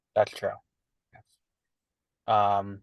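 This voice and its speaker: The background stays quiet. Over it, a man talks with an American accent. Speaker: podcast co-host. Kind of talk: casual chat.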